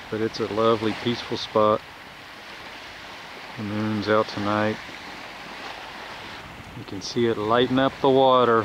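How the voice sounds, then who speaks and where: A man speaks with monotone, flat intonation over noticeable background noise, the sound dry with no echo. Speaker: travel vlogger. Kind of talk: casual vlog narration. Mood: calm, relaxed. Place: beach.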